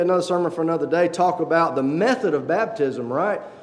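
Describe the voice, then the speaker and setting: Over noticeable background noise and audible room echo, a man speaks fairly quickly at a high pitch, with ordinary pitch variation. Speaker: lay preacher. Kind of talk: sermon. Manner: fast.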